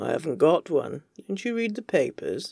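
A woman uses a put-on character voice with a low pitch, vocal fry, a slightly husky edge, and a slightly mellow tone, moving at a moderate pace with big pitch swings.

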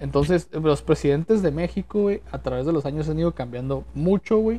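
The pace is moderate. The background is quiet. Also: man. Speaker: podcast host. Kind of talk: casual chat. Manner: casual, slangy.

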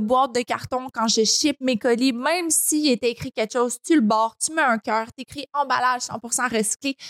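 The speaker talks fairly slowly with a Quebec accent and ordinary pitch variation. The sound is dry and close, with no echo. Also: woman. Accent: Québécois French. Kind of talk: casual interview chat.

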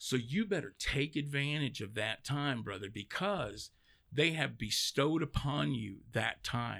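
On a very clean recording with a silent background, a man with a Texan accent speaks at a fairly slow pace and a medium pitch, with vocal fry, lively intonation and a bright, sharp tone. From Texas, East Dallas. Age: 40s. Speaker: cigar brand sales rep. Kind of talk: interview. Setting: studio.

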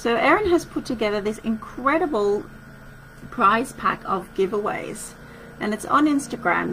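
This woman has an Australian accent and lively intonation. She talks at a moderate pace. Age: 40s. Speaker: wellness podcast host and retreat organiser. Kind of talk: casual solo podcast talk.

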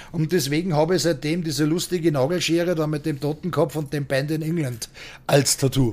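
Fairly quick and fairly high in pitch, a man talks in an unremarkable speaking voice with fairly even intonation. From Austria. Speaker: bouncer. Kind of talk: casual interview.

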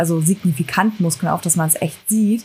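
Somewhat breathy, dark and mellow tones from a woman at medium pitch, fairly quick in pace with fairly even intonation, in a very clean recording with a silent background. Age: 20s. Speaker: fitness coach and amateur bodybuilder. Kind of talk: casual chat.

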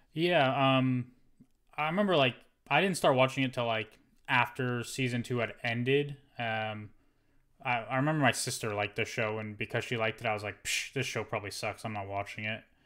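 Fairly quick speech from a man at medium pitch, with long, frequent pauses, in a very clean recording with a silent background. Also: ordinary pitch variation. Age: 20s. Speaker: podcast co-host. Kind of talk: casual chat.

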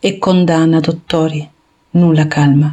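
A woman speaks at a fairly slow pace. Her pitch is fairly low, and her intonation is fairly even. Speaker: poet. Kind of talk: reading aloud.

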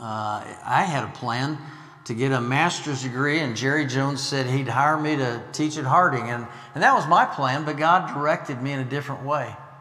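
Noticeable background noise sits behind a man with an American accent who speaks at a moderate pace in a fairly high voice with fairly even intonation. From US Midwest, Illinois. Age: 60s. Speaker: missionary preacher. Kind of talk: sermon. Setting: church.

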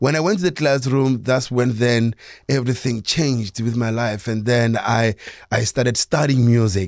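Recorded very cleanly against a silent background, a man with a South African accent talks at a moderate pace in a dry, close sound with no echo. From South Africa, Soweto (born in Limpopo). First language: Sepedi. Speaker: jazz guitarist and music educator. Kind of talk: radio interview. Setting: radio studio. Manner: hesitant, many fillers.

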